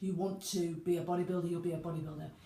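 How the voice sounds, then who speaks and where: In a British accent, a woman talks at a very fast pace with a fairly low pitch and monotone, flat intonation, amid audible room echo and noticeable background noise. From UK. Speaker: personal trainer. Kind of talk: talking-head video monologue. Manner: halting.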